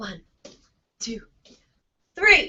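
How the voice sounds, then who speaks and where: A woman speaks in an animated tone with vocal fry. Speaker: education consultant. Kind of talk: online training tutorial.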